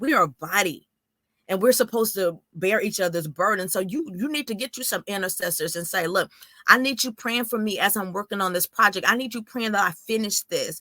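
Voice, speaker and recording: A woman talks at a fairly quick pace in a bright, sharp and animated tone. The recording is dry and close with no echo. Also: ordinary pitch variation. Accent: American. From Texas, small town near Houston. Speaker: author and minister. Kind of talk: interview testimony with preaching. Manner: fast; high energy, animated.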